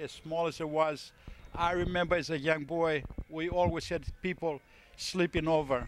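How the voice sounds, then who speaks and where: Speaking with a Greek accent, a man keeps a fairly slow pace. His pitch sits fairly high. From Greece. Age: 70s. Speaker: family member giving a speech. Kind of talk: speech at a family birthday party. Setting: party with guests. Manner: halting with many repetitions.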